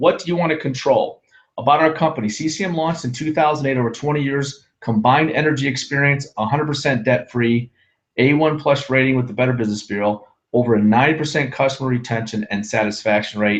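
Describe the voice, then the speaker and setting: Against a quiet background, a man of medium pitch talks at a very fast pace with ordinary pitch variation. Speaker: sales director. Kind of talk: sales pitch. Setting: webinar.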